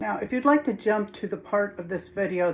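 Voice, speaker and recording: A woman is speaking. Her pace is moderate. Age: 60s. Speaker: home cook and video creator. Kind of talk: casual talk to camera. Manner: hesitant, with fillers.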